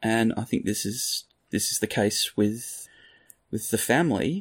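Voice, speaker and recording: A man with an Australian accent speaks at a very slow pace, at medium pitch with ordinary pitch variation. The recording is very clean, with a silent background. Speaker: true crime podcast co-host. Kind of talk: casual chat.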